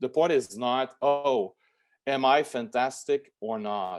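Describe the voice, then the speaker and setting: A man speaks in a French accent at a medium pitch. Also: quiet background. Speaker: lawyer. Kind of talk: interview. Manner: halting, many repetitions and fillers.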